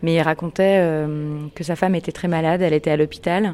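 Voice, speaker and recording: This woman talks in a fairly low pitch with a flat, monotone delivery. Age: 20s. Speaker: journalist and podcast host. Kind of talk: interview questionnaire. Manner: hesitant, many fillers.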